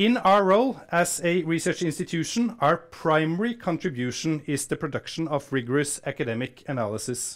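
A man at a fairly quick pace with hardly any pauses, against a quiet background. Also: fairly high pitch for a man. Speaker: research institute director and event host. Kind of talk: formal welcome speech and Q&A moderation. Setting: stage with audience, live-streamed. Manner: formal. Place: hall. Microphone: lapel.

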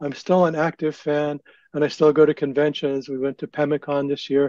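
Speaking fairly quickly with an American accent, a man's fairly high, dark and mellow voice comes through dry with no echo over a quiet background. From Northern Virginia. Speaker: fan historian panelist; panelist. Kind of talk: panel discussion. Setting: video call. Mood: relaxed, reminiscing. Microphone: video call.

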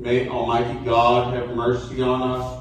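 A man at a very slow pace, with strong room echo and light background noise. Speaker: priest. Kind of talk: liturgical prayer. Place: church. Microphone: camera far.

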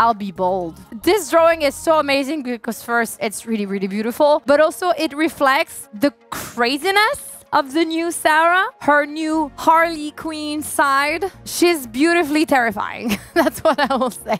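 With faint music in the background, a woman speaks at a fairly slow pace and high pitch, the sound dry with no echo. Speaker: gaming content creator. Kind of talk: casual game review chat. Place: home room. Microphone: headset.

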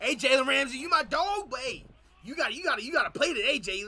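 Raised and projected, a man's extremely high voice carries lively intonation and an animated, playful tone at a fairly quick pace. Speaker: YouTube reaction streamer. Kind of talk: live reaction to game highlights, casual chat with viewers. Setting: streaming, playing game highlights. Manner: animated, loud, hyped, talking back to the screen; playful, teasing, trash-talking. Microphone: headset.

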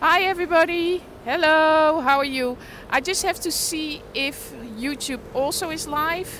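Against noticeable background noise, a woman speaks at a fairly slow pace with lively intonation, the sound dry with no echo. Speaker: livestreaming vlogger. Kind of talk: casual livestream chat. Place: street. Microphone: phone near.

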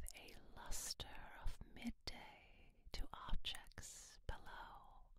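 A woman whispering at a very slow pace in a soothing tone. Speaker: reader, narrator. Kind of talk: ASMR story reading. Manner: soothing, soft. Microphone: studio mic.

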